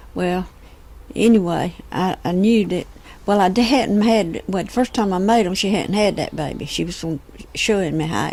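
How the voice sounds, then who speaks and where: A woman speaks at a moderate pace with a Southern US accent. Her pitch sits in the medium range. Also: ordinary pitch variation. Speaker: homemaker and cook. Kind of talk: oral history storytelling. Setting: home, close microphone. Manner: relaxed, conversational.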